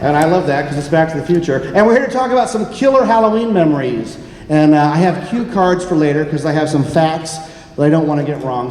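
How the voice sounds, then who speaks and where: A man with an American accent talks at a fairly quick clip in a high voice for a male, his tone animated and his intonation lively, over noticeable background noise and audible room echo. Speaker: podcast host. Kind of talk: live panel presentation. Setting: stage with audience at convention. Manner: fast.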